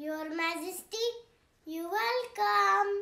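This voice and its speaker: A cartoonish character voice jumps through very wide pitch swings at an extremely high pitch. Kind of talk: puppet show for kids.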